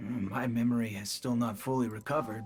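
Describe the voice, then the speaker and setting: With clear music in the background, a man in a put-on character voice rattles off lines very fast at a medium pitch, his intonation monotone and flat. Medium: video game. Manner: hesitant, stammering.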